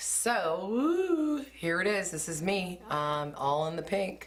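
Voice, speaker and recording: A woman speaks with audible echo from the room. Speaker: beauty vlogger. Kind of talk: hair color tutorial. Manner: casual, filler-heavy; loud.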